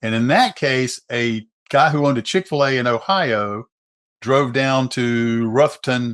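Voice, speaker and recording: Against a quiet background, a man with a normal speaking voice talks at a medium pitch with ordinary pitch variation. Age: 60s. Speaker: attorney for abuse victims. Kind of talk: interview.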